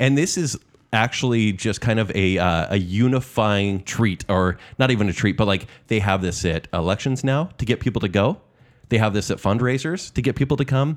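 A man with an American accent talks at a moderate pace and medium pitch, his intonation lively. The recording is very clean, with a silent background. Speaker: podcast host. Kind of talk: casual comedic chat.

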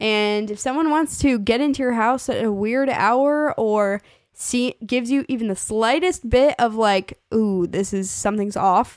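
Speaking at a fairly slow pace with hardly any pauses, a woman has an unremarkable speaking voice, a fairly high pitch and ordinary pitch variation. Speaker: podcast host. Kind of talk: casual chat. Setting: home recording.

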